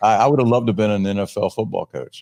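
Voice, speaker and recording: A man with a dark, mellow tone speaks at a very fast pace in a dry, close recording with no echo. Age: 50s. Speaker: recruiting company executive. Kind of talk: interview. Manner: halting.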